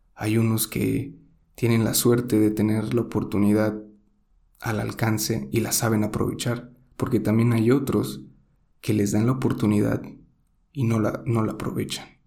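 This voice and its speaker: A man with a Mexican accent talks at a fairly slow pace with long, frequent pauses, his fairly low voice dark and mellow in tone. Room echo is audible. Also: ordinary pitch variation. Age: 20s. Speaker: podcaster. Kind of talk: solo monologue podcast.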